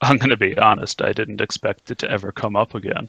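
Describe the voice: Putting on a character voice, a man speaks fast at a fairly low pitch with a bright, sharp tone, a slightly husky edge and vocal fry. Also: fairly even intonation, dry, close sound with no echo.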